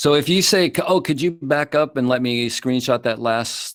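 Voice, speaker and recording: A man at medium pitch with lively intonation. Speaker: teacher of Chinese herbal medicine. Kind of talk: online lecture. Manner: fast.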